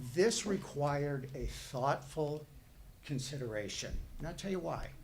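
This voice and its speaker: Very slowly, a man at medium pitch speaks with an American accent, amid audible room echo and noticeable background noise. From northern US. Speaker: resident speaking at public hearing. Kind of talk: public comment at planning meeting.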